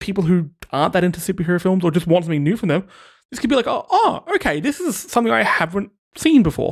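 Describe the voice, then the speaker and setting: A man with an Australian accent talks at a very fast pace. His voice is high-pitched, with lively intonation. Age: 30s. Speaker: podcast host. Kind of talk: casual chat.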